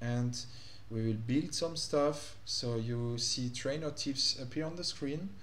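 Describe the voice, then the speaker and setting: A man with a French accent speaks at a fairly slow pace in a medium pitch, somewhat breathy. His pitch varies in an ordinary way, and the room echo is audible. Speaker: gaming youtuber. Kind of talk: gameplay commentary. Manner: hesitant, many fillers.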